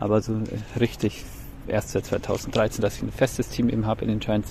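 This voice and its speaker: A man with a fairly low pitch is speaking. His pace is moderate. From Bavaria, Germany. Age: 30s. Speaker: teacher, baseball fan contributor. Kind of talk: recorded monologue season review.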